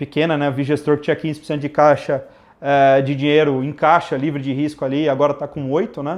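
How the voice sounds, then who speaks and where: A fairly high-pitched man at a fairly quick pace against a quiet background. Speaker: investment firm co-founder. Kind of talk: live Q&A stream. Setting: online livestream. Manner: fast; casual, animated.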